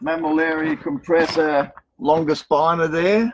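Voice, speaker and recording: A man with an Australian accent at a fairly slow pace, over light background noise. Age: 60s. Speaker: cactus garden owner; garden creator giving tour. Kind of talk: live guided tour. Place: garden.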